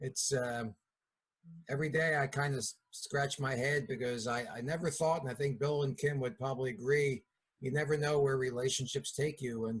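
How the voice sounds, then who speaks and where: A man with a Philadelphia accent, medium pitch, a somewhat breathy quality and fairly even intonation. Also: moderate pace. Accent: Philadelphia accent, noticeable. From Philadelphia area, US. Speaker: network marketing distributor. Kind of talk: business meeting talk. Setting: video call.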